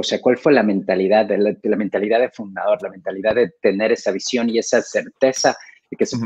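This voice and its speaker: A man talking at a very fast pace, dry sound without echo, quiet background. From Ecuador. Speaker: co-interviewer, company director; co-interviewer. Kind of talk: interview. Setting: video call. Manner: halting. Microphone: video call.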